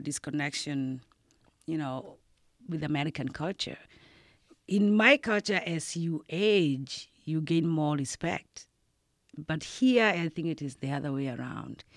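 On a very clean recording with a silent background, a woman with a very deep, low pitch speaks at a fairly slow pace with lively intonation. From Kenya, Nairobi. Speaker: nursing assistant. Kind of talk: interview. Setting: studio.

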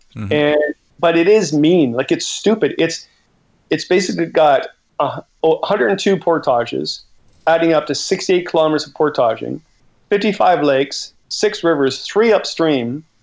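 This is a man with a Canadian accent and an ordinary speaking voice. His pitch is fairly high, with ordinary variation. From Canada. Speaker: outdoor author and educator. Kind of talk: casual interview chat. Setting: video call.

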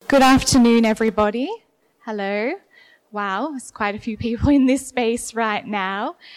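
On a very clean recording with a silent background, a woman with an Australian accent speaks at a fairly high pitch with ordinary pitch variation. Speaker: museum curator giving a gallery talk. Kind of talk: public talk. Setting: gallery room with audience, poor acoustics, no PA. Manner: slow and clear.

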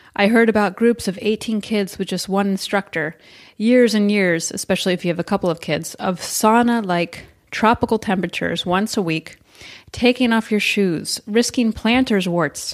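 On a very clean recording with a silent background, a woman with a plain, everyday voice speaks at a medium pitch and moderate pace with ordinary pitch variation. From United States. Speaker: podcast host. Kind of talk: scripted narration; interview.

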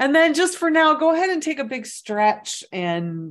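A woman's warm tone at a fairly slow pace, with very wide pitch swings. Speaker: meditation guide and clairvoyant reader. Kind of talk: guided meditation. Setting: online virtual session, from home. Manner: gentle, unhurried, soothing; warm, conversational.

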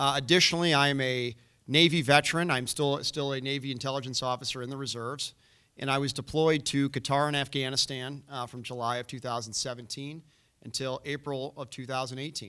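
A man with an American accent speaks at a fairly quick pace in an ordinary speaking voice, pitched fairly high with fairly even intonation. The recording is very clean, with a silent background. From Chicago, north side. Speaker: former prosecutor, navy veteran, political candidate. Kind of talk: candidates forum debate. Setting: stage with audience.

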